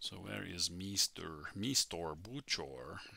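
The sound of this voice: In a put-on character voice, a man speaks with a very deep, low pitch that makes very wide swings.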